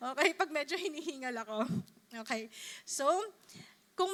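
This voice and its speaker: Raising and projecting her voice, a woman speaks at a high pitch and a fairly quick pace, her tone bright and sharp and her pitch swinging very widely. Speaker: preacher. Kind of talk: sermon.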